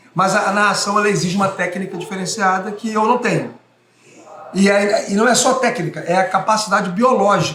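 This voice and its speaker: Audible room echo surrounds a man who speaks at a fairly quick pace with a high pitch and ordinary pitch variation. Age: 40s. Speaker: radio sports commentator. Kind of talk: interview. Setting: bar. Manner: fast.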